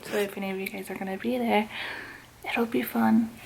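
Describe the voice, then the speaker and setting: There is noticeable background noise. Over it, a woman speaks in an upbeat tone. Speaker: YouTuber. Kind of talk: unboxing video. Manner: casual, upbeat.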